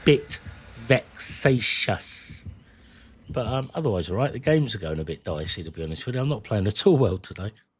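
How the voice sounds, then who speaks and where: A man with a British accent, somewhat breathy and fairly quick, with very wide pitch swings and big swings in loudness, in a very clean recording with a silent background. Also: fairly low pitch for a man. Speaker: gaming streamer. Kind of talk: casual live-stream chat. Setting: live stream.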